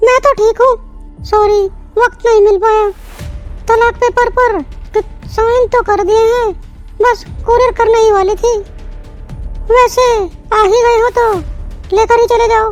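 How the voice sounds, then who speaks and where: Over clear music in the background, a woman does a cartoonish character voice at an extremely high pitch and a moderate pace. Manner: firm, self-assured.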